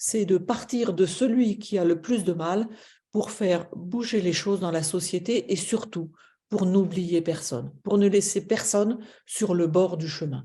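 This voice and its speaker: Over a quiet background, a woman with a dark, mellow tone and medium pitch talks at a very slow pace with ordinary pitch variation. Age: 60s. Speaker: charity president. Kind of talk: webinar presentation. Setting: online webinar. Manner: hesitant, many fillers.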